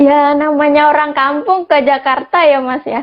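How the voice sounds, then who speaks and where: A woman talks at a fairly slow pace. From Central Java, Pati. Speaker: tourism academy alumna. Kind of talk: interview.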